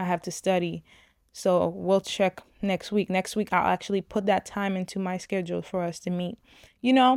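A woman speaks at a medium pitch and a moderate pace, with fairly even intonation. The recording is very clean and dry, close with no echo, over a silent background. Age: 20s. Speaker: podcast host. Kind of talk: casual monologue.

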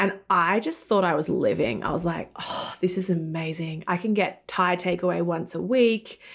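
Speaking with an Australian accent, a woman keeps a moderate pace with hardly any pauses, her fairly low pitch showing ordinary variation. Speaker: tech entrepreneur and app founder. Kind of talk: casual interview chat. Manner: animated.

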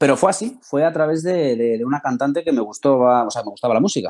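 A dark, mellow tone with lively intonation. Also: man. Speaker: interview guest. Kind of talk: casual interview.

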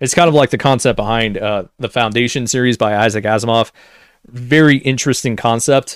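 A man with an unremarkable speaking voice talks at medium pitch and a fairly quick pace. His intonation is fairly even, and the recording is very clean with a silent background. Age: 20s. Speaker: gaming news podcast host. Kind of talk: solo news commentary. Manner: casual, conversational.

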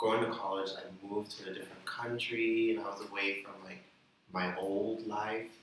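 Delivered at a moderate pace in a monotone, flat intonation, the voice swings widely in loudness over noticeable background noise. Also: man. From Bahamas. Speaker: band musician. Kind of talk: casual chat.

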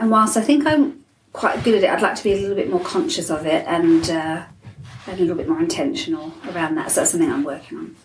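With very wide pitch swings and a very fast pace, a woman at a medium pitch talks amid audible room echo. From England. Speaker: life coach and motivational speaker. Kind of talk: interview.

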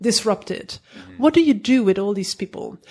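A woman's fairly high voice with a dark, mellow tone in a Dutch accent. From Netherlands. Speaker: tech startup co-founder. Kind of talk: casual interview. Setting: office.

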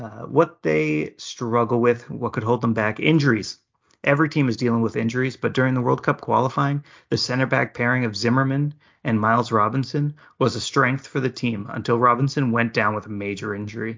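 A man with an American accent speaks at a fairly quick pace in a plain, everyday voice, medium in pitch with ordinary pitch variation. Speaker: podcast host. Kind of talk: casual chat about soccer previews.

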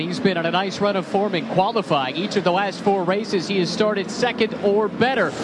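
There is noticeable background noise as a man speaks at a moderate pace. His pitch is high, with ordinary variation. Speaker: pit reporter. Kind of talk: live pit reporting and interviews.

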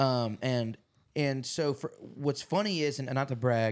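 A man uses an ordinary speaking voice, moving at a moderate pace with ordinary pitch variation. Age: 20s. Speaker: podcast host and musician. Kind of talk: casual chat. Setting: his apartment.

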